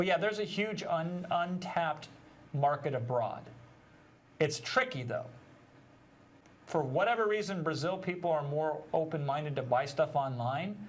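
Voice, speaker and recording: With lively intonation, a man talks at a moderate pace, taking long, frequent pauses amid audible room echo. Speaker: digital marketing trainer. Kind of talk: webinar teaching. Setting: live stream.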